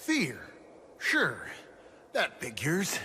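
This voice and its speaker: Over clear background noise, a man does a put-on character voice pitched high. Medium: audio drama. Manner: tough, streetwise, uses "we".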